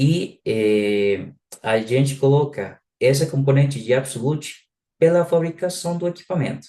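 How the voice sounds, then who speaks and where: A man with a non-native accent speaks very slowly in a dark, mellow tone, his intonation lively. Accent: noticeable foreign accent in Portuguese. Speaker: software product specialist. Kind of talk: live webinar product presentation. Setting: online live session. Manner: halting, many filler sounds.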